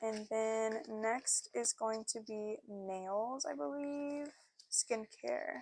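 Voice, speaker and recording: Recorded very cleanly against a silent background, a woman speaks at a fairly high pitch with a dry, close sound and no echo. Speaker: cash-stuffing budgeting youtuber. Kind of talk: casual tutorial while budgeting. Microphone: new external microphone being tested.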